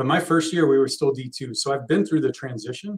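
Somewhat breathy, a man with an American accent speaks at a very fast pace. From Texas. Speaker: college soccer head coach. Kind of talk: casual interview. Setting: live podcast recording.

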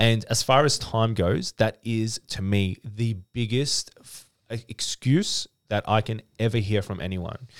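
Speaking with an Australian accent at a fairly slow pace, a man swings widely in loudness on a very clean recording with a silent background and a dry, close sound with no echo. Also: medium pitch for a man, ordinary pitch variation. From Australia, Melbourne (Dandenong). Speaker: business owner and author. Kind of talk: casual interview chat.

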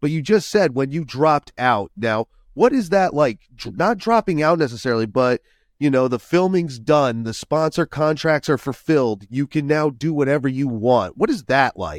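A man talks in a normal speaking voice with lively intonation. The recording is very clean, with a silent background. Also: fairly high pitch for a man, moderate pace, dry, close sound with no echo. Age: 40s. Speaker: ski podcast host. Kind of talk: casual chat.

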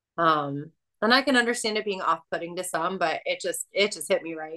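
A woman has an unremarkable speaking voice, medium in pitch, at a moderate pace. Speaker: voice of the show, intro and outro voice. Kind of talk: casual chat.

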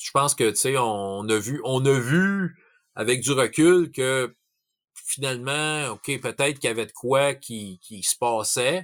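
Pace is very slow for this man with a medium-pitched voice. His pitch varies in an ordinary way. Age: 40s. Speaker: tabletop role-playing game master. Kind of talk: casual chat.

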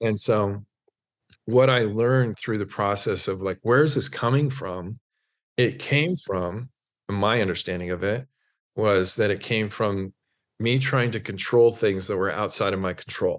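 A man with an American accent has an unremarkable speaking voice, fairly low in pitch with ordinary pitch variation. He talks at a fairly slow pace against a quiet background. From US, small town in Oregon. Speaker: mental performance coach, former elite swimmer. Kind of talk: interview conversation.

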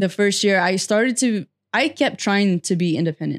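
A woman's voice at a medium pitch and moderate pace, an unremarkable speaking voice, with a dry, close sound with no echo and a very clean recording over a silent background. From California Central Valley (Fresno). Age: 20s. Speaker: motivational speaker. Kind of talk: podcast interview.

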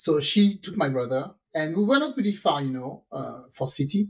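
A woman with a French accent talks at a moderate pace in a very deep, low pitch. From France. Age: middle-aged. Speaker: podcast co-host. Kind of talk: casual chat. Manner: animated, laughs often.

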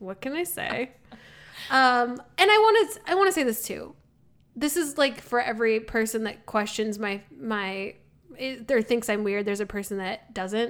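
A woman talks at a fairly high pitch. Her intonation is lively and her pace moderate. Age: 30s. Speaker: podcast co-host. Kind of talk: casual chat. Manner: loud.

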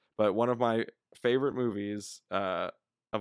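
Using a plain, everyday voice, a man speaks at a moderate pace and fairly low pitch with fairly even intonation. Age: 20s. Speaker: stage performer. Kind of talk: casual chat.

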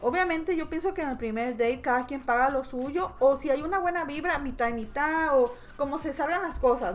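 The speaker is a woman with a high pitch. Lively intonation runs through her speech. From Mexico. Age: 30s. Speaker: podcast guest. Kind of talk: casual chat.

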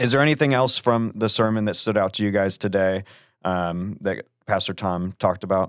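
A normal speaking voice with ordinary pitch variation moves at a fairly quick pace on a very clean recording with a silent background, the sound dry and close with no echo. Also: man, fairly low pitch for a man. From Florida (Melbourne area). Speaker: church podcast host. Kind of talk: casual chat.

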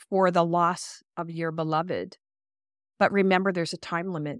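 A woman speaks with a Canadian accent at a medium pitch. Her moderate pace comes through in a very clean recording with a silent background. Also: dry, close sound with no echo. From Vancouver, Canada. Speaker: doctor of traditional Chinese medicine. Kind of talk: casual chat. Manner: animated, laughs a lot.

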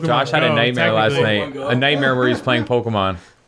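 Over noticeable background noise, a man speaks fairly quickly at a medium pitch, with ordinary pitch variation and very even loudness. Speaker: podcast co-host.

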